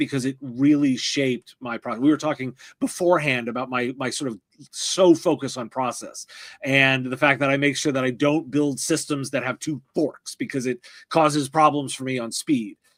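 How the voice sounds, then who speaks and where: A man speaks in an ordinary speaking voice, pitched fairly high, with fairly even intonation. The recording is very clean and dry, close-miked with a silent background and no echo. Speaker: tech podcast host. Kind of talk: interview. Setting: live stream.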